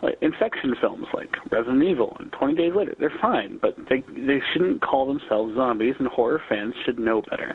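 With noticeable background noise around him, a man talks at a fairly quick pace in a medium pitch. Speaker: podcast listener calling in. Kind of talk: voicemail commentary. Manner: halting.

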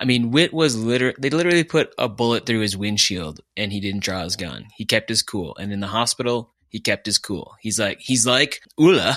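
With an American accent and an unremarkable speaking voice, a man at a medium pitch talks at a moderate pace with lively intonation and hardly any pauses, in a dry, close sound with no echo on a very clean recording with a silent background. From US Upper Midwest (Fargo, North Dakota). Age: 40s. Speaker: podcast co-host. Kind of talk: casual chat.

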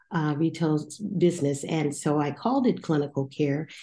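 A dark, mellow tone with ordinary pitch variation. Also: woman. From Houston, Texas. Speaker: pharmacist and foundation president. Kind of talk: interview.

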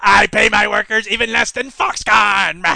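A put-on character voice at a moderate pace, monotone and flat in intonation. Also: man, high pitch for a man. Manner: boastful, villainous.

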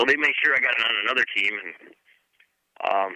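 With an American accent, a man rattles along at a very fast pace. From Michigan. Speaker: retired motocross racer. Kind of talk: casual interview.

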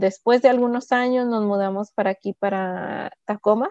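A woman talks at a moderate pace and a medium pitch. Her intonation stays fairly even. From Pacific Northwest US, raised from age 4-5. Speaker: community worker. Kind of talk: interview. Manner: hesitant.

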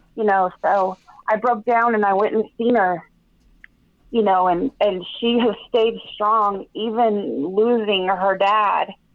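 Talking at a fairly slow pace, a woman has an unremarkable speaking voice at medium pitch with fairly even intonation. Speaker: caller. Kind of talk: testimony.

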